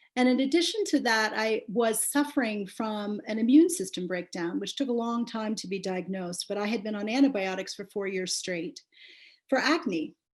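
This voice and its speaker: The voice is somewhat breathy, with lively intonation. Its pace is moderate. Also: woman, fairly high pitch for a woman. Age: 60s. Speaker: memoir author. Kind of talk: book launch talk. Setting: video call.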